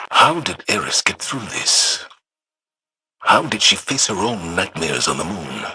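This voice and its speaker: A man's put-on character voice at a fairly low pitch and a moderate pace. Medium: short film.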